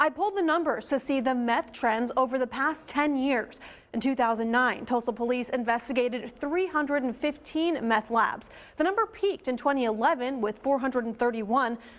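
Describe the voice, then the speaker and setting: A woman with an American accent talks at a moderate pace in a high pitch, with ordinary pitch variation and very even loudness. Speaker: television news reporter and anchor. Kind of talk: TV news reporting.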